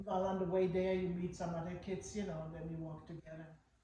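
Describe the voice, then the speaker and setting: Somewhat breathy and monotone, with flat intonation, the voice moves at a fairly quick pace amid audible room echo. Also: woman. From Germany. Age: 80s+. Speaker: interviewee. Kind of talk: interview.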